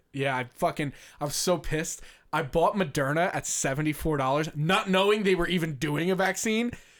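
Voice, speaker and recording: A man talks at a fairly quick pace in a fairly high pitch with ordinary pitch variation, recorded very cleanly against a silent background. He has an ordinary speaking voice. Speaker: podcast host. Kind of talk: casual chat.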